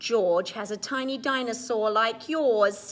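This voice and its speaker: A woman speaks in a put-on character voice. Her pitch is fairly high and her pace fairly slow. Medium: read story.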